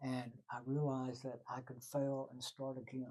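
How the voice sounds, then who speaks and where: With a Texan accent, a man talks in a dark, mellow tone. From Texas, Waco. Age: 80s+. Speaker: retired journalist. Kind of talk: interview. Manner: halting.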